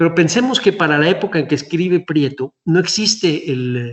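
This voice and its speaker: Here a man speaks at a moderate pace with a fairly high pitch and ordinary pitch variation. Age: 60s. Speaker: historian, museum director. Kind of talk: lecture. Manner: halting.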